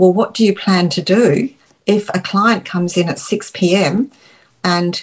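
Somewhat breathy, a woman with an Australian accent speaks at medium pitch with ordinary pitch variation. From England, Dorset. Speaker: retired lawyer, parent. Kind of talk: casual interview.

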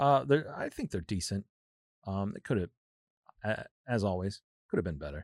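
A man with an American accent speaks at a moderate pace in a fairly low pitch with lively intonation and long, frequent pauses, on a very clean recording with a silent background and a dry, close sound with no echo. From US Midwest, St. Louis. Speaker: comic book fan. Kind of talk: casual chat. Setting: studio.

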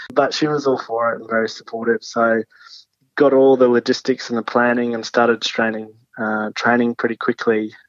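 In an American accent, a man speaks at a moderate pace and medium pitch, his intonation monotone and flat. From Australia, Sunshine Coast (Queensland). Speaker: adventurer and long-distance walker. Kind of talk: interview.

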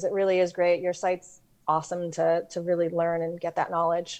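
A woman's fairly low-pitched voice comes through over a quiet background. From New York. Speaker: real estate lending software rep. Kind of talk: interview. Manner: direct.

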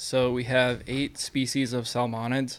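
With an American accent, a man talks at a fairly slow pace in a medium pitch. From Iowa, US Midwest. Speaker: fish hatchery worker. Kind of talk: casual chat.

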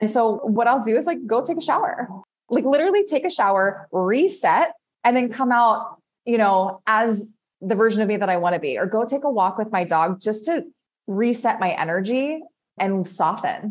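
With an American accent, a woman talks at a moderate pace in a fairly high pitch, with very wide pitch swings. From US East Coast. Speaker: embodiment and success coach, former professional dancer. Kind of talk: casual interview chat.

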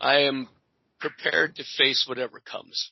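Someone speaks loudly at a moderate pace in a raspy, put-on character voice at a low-to-middle pitch. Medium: actual play. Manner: formal, steady.

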